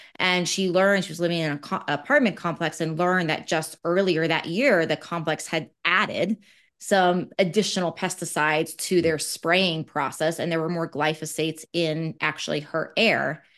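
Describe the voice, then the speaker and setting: A woman's fairly low, plain, everyday voice at a moderate pace, with hardly any pauses and fairly even intonation against a quiet background. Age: 40s. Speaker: naturopathic doctor. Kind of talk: interview. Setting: video call.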